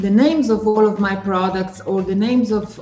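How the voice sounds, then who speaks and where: Moderate pace and fairly even intonation, with audible room echo and faint music in the background. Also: woman. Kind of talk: interview answer. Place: home room.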